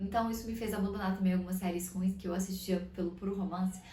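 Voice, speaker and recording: A woman talks at a very fast pace. The room echo is audible, and background noise is noticeable. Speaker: lifestyle vlogger. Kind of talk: casual vlog talk.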